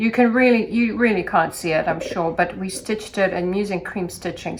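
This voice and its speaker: This is a woman's voice. Her pitch is medium. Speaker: sewing instructor. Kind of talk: tutorial. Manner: sing-song.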